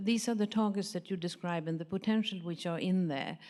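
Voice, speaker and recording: A woman with a slight Swedish accent has a dark, mellow tone. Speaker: pharmaceutical industry professional, audience member. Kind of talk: audience question at a conference panel.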